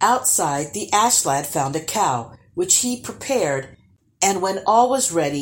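Text read aloud in a natural voice

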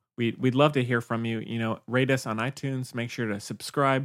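A man speaks at a medium pitch. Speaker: podcast host. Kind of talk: casual chat. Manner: monotone.

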